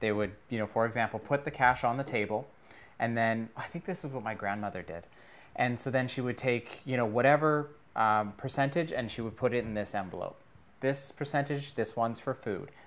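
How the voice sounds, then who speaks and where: A man's medium-pitched voice, an ordinary speaking voice, with ordinary pitch variation at a fairly quick pace, on a very clean recording with a silent background. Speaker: podcast host. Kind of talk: casual interview.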